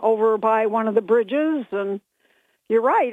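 Using an unremarkable speaking voice, a woman with an American accent talks at a moderate pace with a fairly high pitch and ordinary pitch variation. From Binghamton, New York. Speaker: caller. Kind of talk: casual call-in chat. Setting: phone call. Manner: chatty, giggly.

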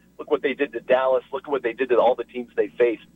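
A man with an American accent, an unremarkable speaking voice, lively intonation and a fairly quick delivery. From El Paso, Texas. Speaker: TV news anchor. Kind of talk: casual sports chat. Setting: phone call.

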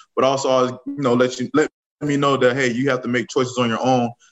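Fairly even intonation marks this man with an American accent, with music playing in the background. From Riviera Beach, Florida. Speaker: NFL assistant football coach. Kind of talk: radio interview. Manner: halting with fillers and repeats.

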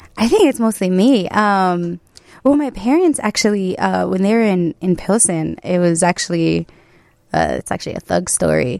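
A Chicago accent at a moderate pace, in a very clean recording with a silent background. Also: woman, dry, close sound with no echo. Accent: Chicago American. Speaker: photographer. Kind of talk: interview.

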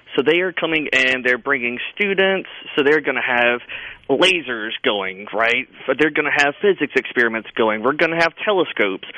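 Lively intonation marks this man's medium-pitched voice, which holds a very even loudness against noticeable background noise. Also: moderate pace. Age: 30s. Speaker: zoo director. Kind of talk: radio interview.

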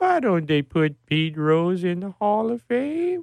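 A put-on character voice at a middle pitch and a fairly slow pace.

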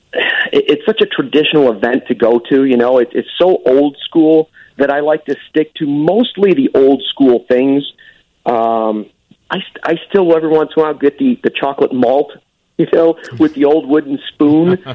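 A man with a Chicago accent talks at a moderate pace. His pitch is fairly high and varies in an ordinary way. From Chicago suburbs, Arlington Heights. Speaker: sports broadcaster. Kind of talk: casual chat. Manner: animated.

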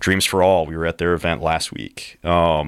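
A man with an American accent and a very deep, low voice with vocal fry, fairly even intonation at a moderate pace, on a very clean recording against a silent background. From US Midwest, rural Missouri. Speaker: brewery co-owner and army veteran. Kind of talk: casual chat. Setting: studio.

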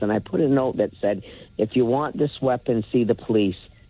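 A man's plain, everyday voice at medium pitch, with lively intonation and a moderate pace. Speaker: caller. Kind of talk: call-in talk radio. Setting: phone call.

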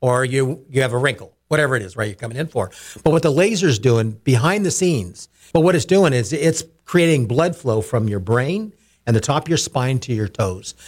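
Somewhat breathy, a man speaks at a fairly quick pace. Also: medium pitch for a man, very clean recording, silent background. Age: 60s. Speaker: company CEO. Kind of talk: radio interview.

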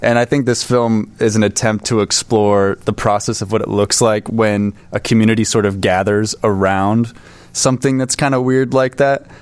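A man with a normal speaking voice and an American accent talks at a moderate pace and fairly low pitch. His loudness stays very even, and his intonation is fairly even. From California. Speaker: film producer. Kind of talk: casual interview.

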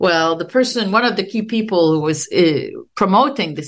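A woman with a Quebec accent speaks in a fairly low voice, with vocal fry and lively intonation. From Quebec, Canada. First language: French. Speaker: sociology professor. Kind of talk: interview.

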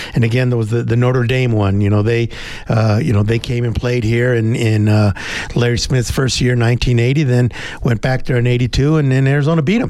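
A man speaks at a moderate pace with a medium pitch, very even loudness and fairly even intonation, over noticeable background noise. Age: 60s. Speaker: sports radio co-host. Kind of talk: casual chat.

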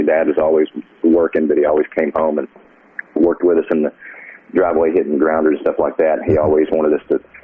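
A man speaks against noticeable background noise. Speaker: songwriter and author. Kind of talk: casual interview chat. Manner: halting, repeats words.

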